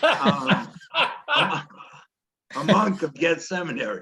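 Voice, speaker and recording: A man with a high pitch and a bright, sharp tone. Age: 70s. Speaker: retired deacon or cleric in a men's discussion group. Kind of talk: casual group chat. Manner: halting.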